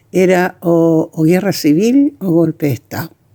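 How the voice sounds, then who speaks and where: A woman's dark, mellow voice with lively intonation at a fairly slow pace, dry and close with no echo. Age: 80s+. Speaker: actress and theatre director. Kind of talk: testimony. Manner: halting.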